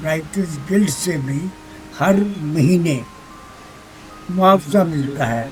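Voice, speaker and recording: Music plays in the background as a man talks. His pitch is high, with ordinary pitch variation. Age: 80s+. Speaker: poet. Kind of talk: interview answer.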